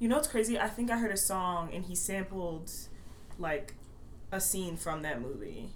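Audible room echo surrounds a woman of medium pitch who speaks with an American accent at a moderate pace and lively intonation. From Maryland, Baltimore area. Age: 20s. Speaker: college student. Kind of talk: casual chat. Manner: quiet at first.

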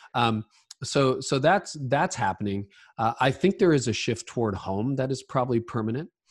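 A man with a Canadian accent speaks at a medium pitch and a moderate pace. His voice is somewhat breathy with lively intonation, set against a quiet background. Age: 50s. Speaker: leadership podcaster and author. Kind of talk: interview.

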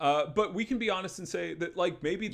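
There is vocal fry in this man's voice. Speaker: podcast host. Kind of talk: casual chat.

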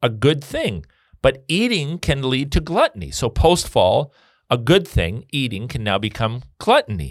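With vocal fry and very wide pitch swings, a man speaks at a fairly high pitch in a dry, close sound with no echo on a very clean recording with a silent background. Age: 50s. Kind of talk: casual chat.

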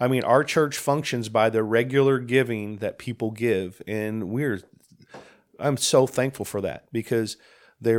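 A man with an unremarkable speaking voice talks at a medium pitch. His pace is moderate and his intonation fairly even. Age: 50s. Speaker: senior pastor. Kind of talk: casual chat.

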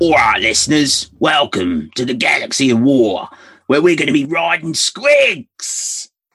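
A man puts on a character voice at a fairly high pitch. He moves at a moderate pace with lively intonation. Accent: Cockney. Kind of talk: playful, exaggerated.

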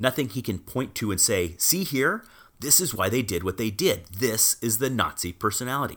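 This man has an unremarkable speaking voice with lively intonation. He talks at a moderate pace on a very clean recording with a silent background. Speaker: television producer. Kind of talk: casual podcast chat with scripted reading.

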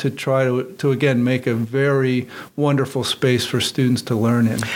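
Noticeable background noise sits behind a man speaking at a moderate pace. His medium-pitched delivery is monotone and flat. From western Pennsylvania. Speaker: engineering professor and department chair. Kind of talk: radio interview.

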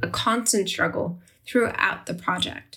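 A woman's voice with vocal fry. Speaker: podcast host and food historian. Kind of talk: interview podcast.

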